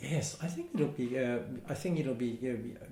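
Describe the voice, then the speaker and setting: A man with a Hong Kong accent, a dark, mellow tone and a somewhat breathy voice, at a moderate pace. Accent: Hong Kong Cantonese-accented English. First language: Cantonese. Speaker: community centre manager. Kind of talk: oral history interview answer.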